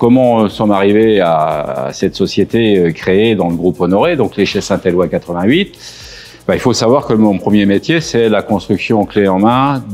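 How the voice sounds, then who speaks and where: Music plays in the background as a man speaks at a moderate pace. His pitch is fairly low, with ordinary pitch variation. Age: 60s. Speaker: distillery engineer and rum producer. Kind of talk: interview during a site tour. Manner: hesitant, many fillers.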